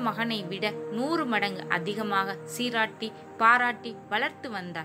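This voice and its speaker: Music plays behind a woman whose voice sits at a medium pitch. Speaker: college student. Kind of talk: audiobook novel reading.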